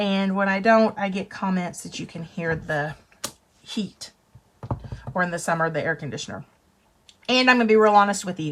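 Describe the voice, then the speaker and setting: At a moderate pace and medium pitch, a woman speaks with ordinary pitch variation, big swings in loudness and long, frequent pauses. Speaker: craft demonstrator. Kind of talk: tutorial. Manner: animated.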